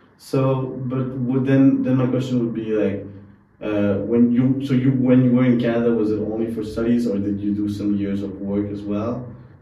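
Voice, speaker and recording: Noticeable background noise sits under a man's voice. He speaks at a moderate pace, medium in pitch, with fairly even intonation. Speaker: podcast host. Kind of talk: interview conversation.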